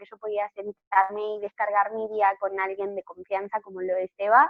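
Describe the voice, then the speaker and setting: A woman speaks with an Argentine accent. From Argentina, Patagonia. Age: 20s. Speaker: novelist. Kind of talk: interview.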